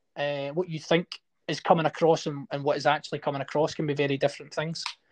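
A man with a Scottish accent speaks at a very fast pace against a quiet background, the sound dry and close with no echo. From Scotland. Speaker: actor. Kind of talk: interview.

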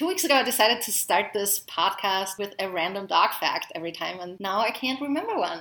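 Over noticeable background noise, a woman of medium pitch talks at a fairly quick pace with lively intonation and hardly any pauses. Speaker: podcast host, dog trainer. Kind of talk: casual chat. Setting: in person at a home. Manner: fast.

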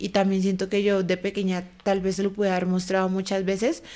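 This woman's medium-pitched voice stays monotone and flat. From Colombia, Bogotá. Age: 20s. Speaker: dancer. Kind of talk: casual chat.

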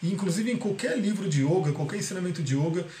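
The recording carries audible room echo and noticeable background noise. The voice shows ordinary pitch variation. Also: man. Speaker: holistic therapy teacher. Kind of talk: live online class. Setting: video call. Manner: fast.

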